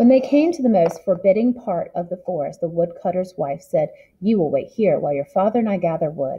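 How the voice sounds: The speaker reads in a natural reading voice.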